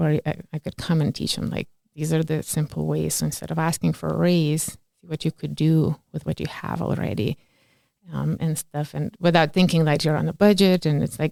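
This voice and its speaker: Speaking at a moderate pace with a Lithuanian accent, a woman comes through with a dry, close sound with no echo. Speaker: community organizer. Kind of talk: interview. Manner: animated.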